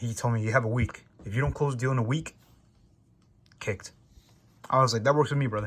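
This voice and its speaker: With an American accent, the speaker goes at a very fast pace with long, frequent pauses, sounding somewhat breathy, with ordinary pitch variation. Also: man. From New York. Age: young. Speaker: salesperson. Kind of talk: casual vlog monologue. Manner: casual.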